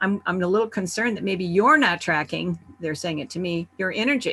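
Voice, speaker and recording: A woman's voice has a bright, sharp tone at a medium pitch with ordinary pitch variation. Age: 70s. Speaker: summit presenter, wellness speaker. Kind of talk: virtual summit talk. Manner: conversational.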